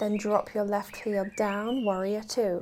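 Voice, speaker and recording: Calm, very slow speech from a woman at a medium pitch. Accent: British. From UK. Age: 20s. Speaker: yoga teacher. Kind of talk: guided yoga class instruction. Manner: calm, steady pace.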